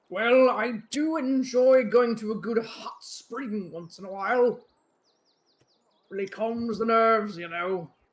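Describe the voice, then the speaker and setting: In a put-on character voice, a man talks at an extremely high pitch. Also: fairly slow pace. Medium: actual play.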